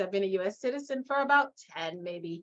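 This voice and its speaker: A woman speaks with a Guyanese accent. Her intonation is lively. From Guyana, West Coast Demerara. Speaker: leadership and mindset coach. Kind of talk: interview. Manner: animated.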